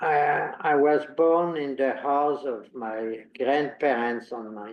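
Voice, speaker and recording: At a very slow pace, a man with a fairly high pitch talks with ordinary pitch variation and big swings in loudness. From France, near Paris. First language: French. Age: 80s+. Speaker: Holocaust survivor. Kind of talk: interview.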